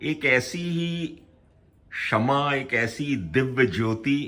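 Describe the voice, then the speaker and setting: A man at medium pitch. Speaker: family motivation channel host. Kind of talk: casual family conversation on camera.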